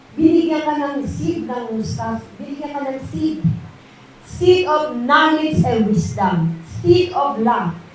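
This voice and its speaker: A woman speaks at a very slow pace with very wide pitch swings. Noticeable background noise and audible room echo fill the recording. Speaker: preacher. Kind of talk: sermon. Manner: loud.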